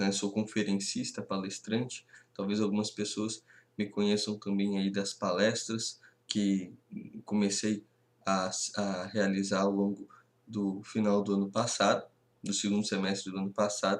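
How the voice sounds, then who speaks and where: Talking at a fairly slow pace with long, frequent pauses, a man keeps a monotone, flat intonation. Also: fairly low pitch for a man. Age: 20s. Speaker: history teacher. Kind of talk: lecture. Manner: halting.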